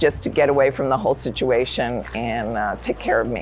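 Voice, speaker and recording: A woman's fairly even intonation in an American accent, with noticeable background noise. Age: 60s. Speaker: retired nurse and masters swimmer. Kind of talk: interview testimony.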